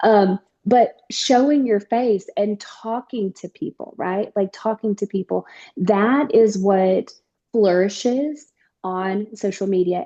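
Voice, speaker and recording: A woman's fairly high voice in a Southern US accent, dark and mellow in tone with ordinary pitch variation, in a dry, close sound with no echo against a quiet background. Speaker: network marketing distributor. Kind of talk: casual chat.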